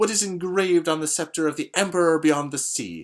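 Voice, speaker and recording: A man speaks in a shrill, put-on character voice. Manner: indignant, rising in tone.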